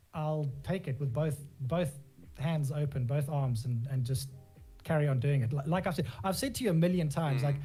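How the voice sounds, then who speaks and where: With music in the background, a man speaks at a moderate pace and a fairly high pitch, his loudness very even and his pitch varying in an ordinary way. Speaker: graphic designer and FGC community lead. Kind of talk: casual interview answer.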